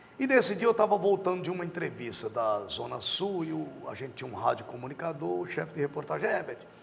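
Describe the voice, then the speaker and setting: Noticeable background noise sits under a man talking at a very fast pace. His pitch is high and swings very widely. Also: hardly any pauses. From Rio Grande do Norte, Brazil. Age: 50s. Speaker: TV journalist. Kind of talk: interview.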